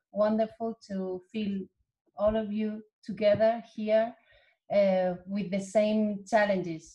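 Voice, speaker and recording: A woman's somewhat breathy voice in a Spanish accent, at a medium pitch and a very slow pace, with monotone, flat intonation. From Spain. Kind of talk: online seminar presentation. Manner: halting.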